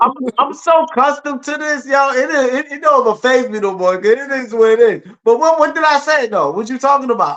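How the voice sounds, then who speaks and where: A fairly quick pace with hardly any pauses and ordinary pitch variation. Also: man, extremely high pitch for a man. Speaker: podcast co-host. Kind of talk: casual chat. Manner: halting.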